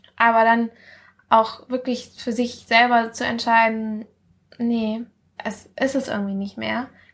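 Very slow, monotone female speech at a fairly high pitch, with flat intonation, long, frequent pauses and a very clean recording against a silent background. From Mallorca, Spain. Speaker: guest, friend of host. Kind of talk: casual chat.

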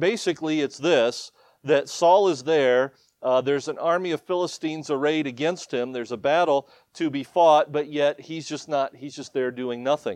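A fairly high-pitched man with a Midwestern US accent, moderate pace and ordinary pitch variation, dry and close with no echo, over a quiet background. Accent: US Midwest. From Ohio. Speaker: missionary preacher. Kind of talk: sermon. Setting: church.

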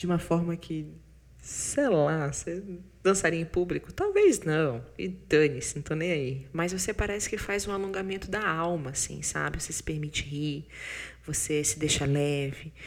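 At a moderate pace, a woman speaks with a very deep, low voice. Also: ordinary pitch variation. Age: 30s. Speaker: podcast host and business consultant. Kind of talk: casual monologue with self-help tips. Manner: animated.

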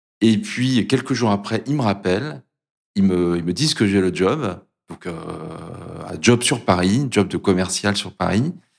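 On a very clean recording with a silent background, a man speaks in a fairly low voice with lively intonation. His pace is fairly slow, broken by long, frequent pauses. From Brittany, France. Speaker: corporate learning director. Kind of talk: interview. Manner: halting.

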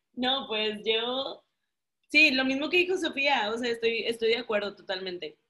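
Her speech comes at a fairly slow pace. The woman's high-pitched voice has lively intonation. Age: 30s. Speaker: guest, married mother. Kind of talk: casual chat.

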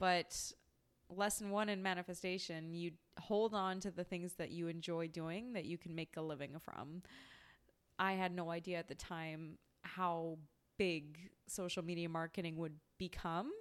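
A Western Canadian accent at a moderate pace, fairly even intonation, long and frequent pauses, and a very clean recording with a silent background. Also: woman. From Canada, British Columbia. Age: 30s. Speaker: podcast host. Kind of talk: personal storytelling monologue.

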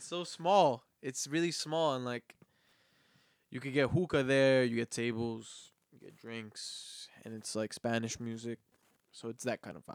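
A man in a normal speaking voice, medium in pitch, with ordinary pitch variation, big swings in loudness and a fairly slow pace, in a dry, close sound with no echo. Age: 20s. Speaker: podcast host. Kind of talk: casual chat.

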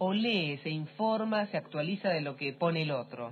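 A woman with a fairly low pitch speaks in an ordinary speaking voice with lively intonation. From Argentina, Trelew, Chubut. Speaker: radio co-host. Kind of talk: radio talk show.

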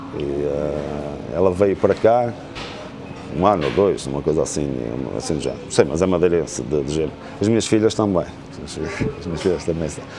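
Over noticeable background noise, a man with a very deep, low voice talks at a moderate pace with ordinary pitch variation and long, frequent pauses. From northern Portugal, Amarante. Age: 50s. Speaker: real estate consultant. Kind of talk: casual interview.

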